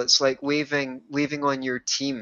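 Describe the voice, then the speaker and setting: A man with a Scottish accent, fairly high in pitch, at a fairly slow pace. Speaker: author and life coach, musician. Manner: well spoken, somewhat posh.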